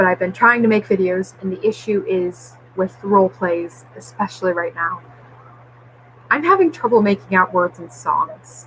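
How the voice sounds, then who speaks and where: A woman with a medium pitch speaks with lively intonation over noticeable background noise. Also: moderate pace. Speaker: vlogger. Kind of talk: personal vlog update. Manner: slurred at times.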